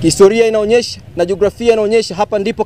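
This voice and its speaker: Here a man talks at a fairly quick pace, his tone dark and mellow at a high pitch. The sound is dry with no echo. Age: 30s. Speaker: parliamentary aspirant and journalist; journalist. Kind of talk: press statement. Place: street. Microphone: lapel.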